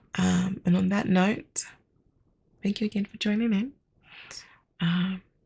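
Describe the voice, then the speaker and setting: A soft-spoken, somewhat breathy woman whispering at a fairly slow pace, with long, frequent pauses. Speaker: podcast host and storyteller. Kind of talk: casual outro. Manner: whispering, soft.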